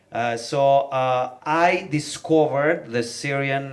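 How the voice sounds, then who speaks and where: This is a man speaking. He has a Milanese accent. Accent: Italian (Milanese) accent in English. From northern Italy, Milan. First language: Italian. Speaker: rapper. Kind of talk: panel talk. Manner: halting, many fillers.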